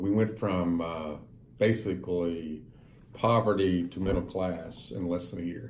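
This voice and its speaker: Somewhat breathy speech with audible room echo. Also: man. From US South, western Kentucky (rural Breckinridge County). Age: 60s. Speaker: businessman. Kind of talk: interview.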